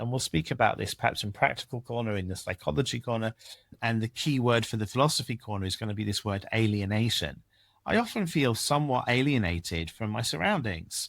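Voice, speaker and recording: In a very clean recording with a silent background, a man with an English accent speaks at a fairly quick pace with lively intonation. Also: medium pitch for a man. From England. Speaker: podcast co-host. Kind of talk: casual discussion with Torah commentary. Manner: halting, many repeated words.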